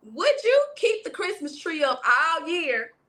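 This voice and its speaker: With a Southern US accent, a woman projects a raised voice in a bright, sharp, animated tone at a moderate pace, her pitch swinging very widely. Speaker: livestream interview host. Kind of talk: casual live-stream interview. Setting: live stream with chat.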